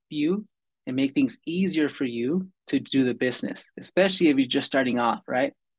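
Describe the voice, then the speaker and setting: A fairly high-pitched man at a fairly quick pace, with ordinary pitch variation and a dry, close sound with no echo. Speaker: product manager. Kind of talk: software tutorial. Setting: online webinar.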